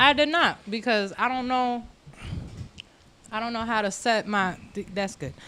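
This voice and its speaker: In a very clean recording with a silent background, a woman's fairly high voice has a bright, sharp tone. She talks at a fairly slow pace, with long, frequent pauses. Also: ordinary pitch variation. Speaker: musician. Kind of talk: casual chat. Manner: soft-spoken; loud at times.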